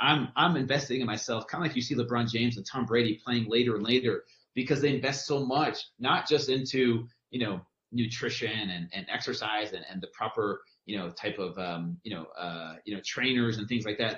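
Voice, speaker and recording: With an American accent, a man with a normal speaking voice talks at a fairly quick pace, his medium pitch showing ordinary pitch variation. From California. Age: 40s. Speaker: personal trainer. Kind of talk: casual chat.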